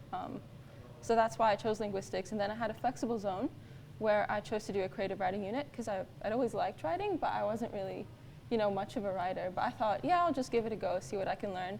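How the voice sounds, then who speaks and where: Very fast, lively speech over noticeable background noise. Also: woman, medium pitch for a woman. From Kuwait. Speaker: university student. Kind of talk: panel talk.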